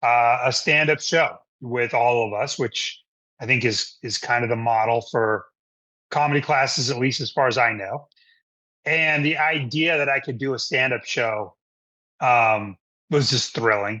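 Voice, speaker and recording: A man's medium-pitched voice with an American accent, fairly slow, with ordinary pitch variation and long, frequent pauses. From Rhode Island, US. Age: 50s. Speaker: stand-up comedian. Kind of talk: casual interview chat. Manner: frequent fillers and repetitions.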